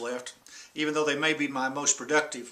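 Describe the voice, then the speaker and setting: Noticeable background noise surrounds a man whose intonation stays monotone and flat. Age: 60s. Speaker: senior pastor. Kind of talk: talk to camera.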